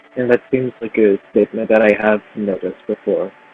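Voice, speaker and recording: Over music in the background, a man speaks at a moderate pace in a fairly low pitch. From Brooklyn, New York. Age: 20s. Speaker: violinist and composer, conservatory student. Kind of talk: interview. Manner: hesitant, many fillers.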